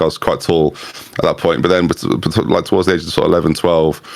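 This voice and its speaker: Talking at a very fast pace, a man is heard through noticeable background noise. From England, Norfolk. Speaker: YouTube content creator. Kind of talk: casual interview chat.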